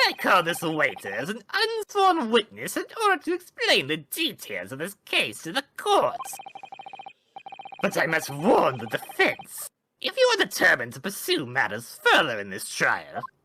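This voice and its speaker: Someone puts on a character voice and speaks at a moderate pace. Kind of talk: formal courtroom speech. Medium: game stream. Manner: smug and menacing.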